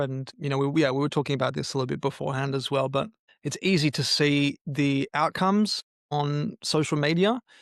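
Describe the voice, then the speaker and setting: Pitched fairly high, a man with an Australian accent talks at a moderate pace in a dry, close sound with no echo. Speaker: mental health entrepreneur, podcast guest. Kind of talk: podcast interview. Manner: halting, many fillers and repetitions.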